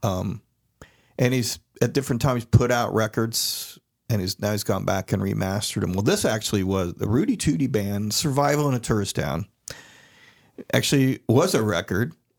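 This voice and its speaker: A man with an American accent and an ordinary speaking voice talks at a moderate pace in a medium pitch with lively intonation, on a very clean recording with a silent background. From Florida, Daytona Beach area. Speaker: podcast co-host. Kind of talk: casual chat.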